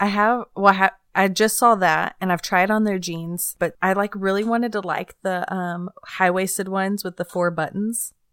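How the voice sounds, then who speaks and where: The woman's delivery is monotone and flat at a moderate pace, captured on a very clean recording with a silent background and a dry, close sound without echo. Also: medium pitch for a woman. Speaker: podcast host. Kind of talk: casual interview chat.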